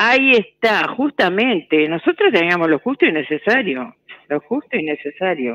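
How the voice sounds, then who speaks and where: A woman speaks at a moderate pace with very wide pitch swings over a quiet background. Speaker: radio listener. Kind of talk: casual chat. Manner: halting. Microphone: phone line.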